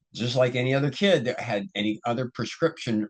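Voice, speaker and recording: Lively in intonation, a man talks in a plain, everyday voice at a medium pitch and a moderate pace. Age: 60s. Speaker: ADHD coach and video host. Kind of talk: casual solo talk to camera. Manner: relaxed, many fillers and restarts.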